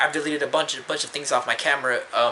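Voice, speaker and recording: Monotone, flat intonation from a man at a very fast pace, over noticeable background noise. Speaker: vlogger. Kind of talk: personal confessional vlog. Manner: halting, many fillers.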